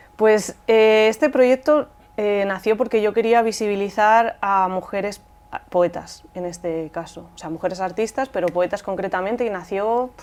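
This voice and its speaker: At a fairly slow pace, a woman speaks in a Madrid accent at a medium pitch with ordinary pitch variation. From Rivas Vaciamadrid, Spain. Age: young. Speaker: poet and singer-songwriter. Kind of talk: interview answer.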